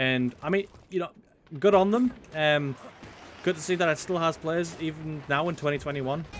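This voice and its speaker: A man with a fairly high pitch takes long, frequent pauses amid noticeable background noise. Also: ordinary pitch variation, moderate pace. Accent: northern English. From northern England. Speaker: gaming YouTuber. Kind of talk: gameplay commentary. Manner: casual, halting with many fillers.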